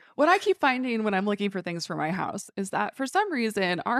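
A woman speaks in an ordinary speaking voice at medium pitch, with lively intonation. The sound is dry and close with no echo, against a quiet background. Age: 30s. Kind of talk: casual interview. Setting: in person at a store.

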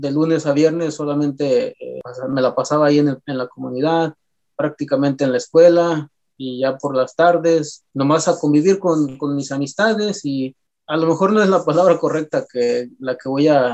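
With a Michoacán accent, a man talks at a moderate pace using fairly even intonation. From Jarácuaro, Lake Pátzcuaro, Michoacán, Mexico. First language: P'urhépecha (speaking Spanish). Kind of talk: interview. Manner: halting, many repetitions.

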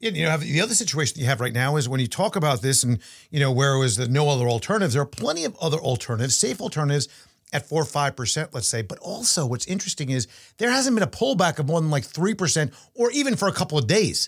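A man talks at a very fast pace in a fairly high pitch. His somewhat breathy voice makes very wide pitch swings. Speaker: podcast host and portfolio manager. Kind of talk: casual chat.

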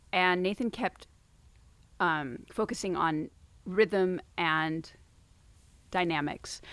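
Over a silent background in a very clean recording, a woman with a fairly low pitch speaks at a very slow pace with ordinary pitch variation and long, frequent pauses. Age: 40s. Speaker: violist and program director. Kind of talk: casual chat. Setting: outdoors.

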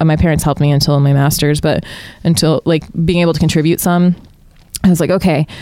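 A woman's very deep, low voice with an American accent, dark and mellow in tone, at a very fast pace and very even loudness. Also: fairly even intonation. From Utah. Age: 20s. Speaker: comedian and scientist. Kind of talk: casual chat.

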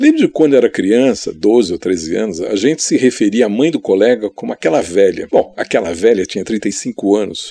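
At a moderate pace, a man speaks with a dry, close sound with no echo. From Brazil, São Paulo city. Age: 60s. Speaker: photographer. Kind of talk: interview.

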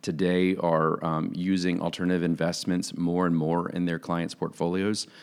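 In a very clean recording with a silent background, a man with an American accent speaks at a moderate pace in a very deep, low, monotone voice with flat intonation. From Florida, US (Jacksonville). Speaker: startup founder and CEO. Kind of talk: interview.

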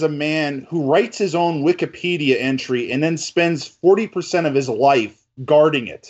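A man speaking in an animated tone at a moderate pace. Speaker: film writer. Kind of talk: casual chat. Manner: animated, joking.

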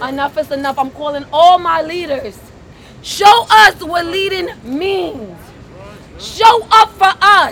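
Over crowd noise, a woman talks at a very slow pace in an extremely high pitch, with lively intonation and big swings in loudness. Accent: American. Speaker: activist. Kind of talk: rally speech. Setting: outdoors. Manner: impassioned, defiant outdoor address.

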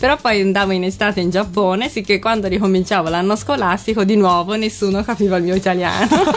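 A woman speaks very fast at medium pitch, with hardly any pauses, fairly even intonation and very even loudness. Noticeable background noise is present. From Japan (Tokyo). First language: Japanese (speaking Italian). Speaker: Japanese guest living in Italy. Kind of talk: casual radio chat. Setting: radio studio.

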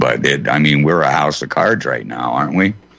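Through noticeable background noise, a man with a very deep, low voice talks at a fairly quick pace. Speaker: radio host. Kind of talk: radio roundtable discussion. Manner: thoughtful, hesitant, filler-heavy.

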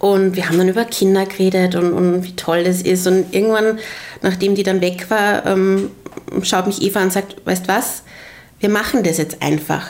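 Noticeable background noise sits behind a woman speaking at medium pitch and moderate pace, her intonation monotone and flat. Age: 30s. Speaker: interviewee, pregnant mother. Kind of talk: casual interview chat. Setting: her living room.

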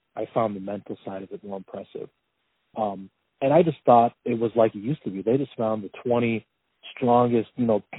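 With a normal speaking voice and ordinary pitch variation, a man talks at a fairly quick pace. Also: medium pitch for a man, big swings in loudness. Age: 30s. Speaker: professional strongman. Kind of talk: casual interview conversation. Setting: phone call.

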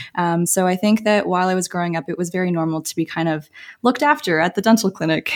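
A woman with a Canadian accent speaks very fast, her fairly low voice showing ordinary pitch variation. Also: very clean recording, silent background. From Toronto, Canada. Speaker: recent graduate dentist. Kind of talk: casual interview chat.

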